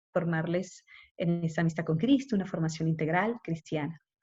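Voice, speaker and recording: A woman's fairly low voice comes across somewhat breathy. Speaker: consecrated woman teaching a course. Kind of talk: lecture. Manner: fast. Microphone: unstable connection.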